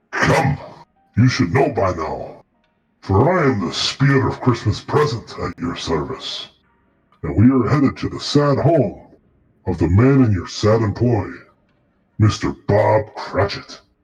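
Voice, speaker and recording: A man's put-on character voice, medium in pitch and theatrical in tone, at a fairly slow pace with long, frequent pauses. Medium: actual play. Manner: booming, theatrical.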